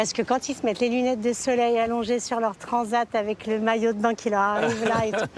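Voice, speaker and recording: A woman with a fairly high voice talks at a fairly quick pace, with hardly any pauses and monotone, flat intonation, against noticeable background noise. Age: 60s. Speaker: senior model and influencer. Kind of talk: TV interview.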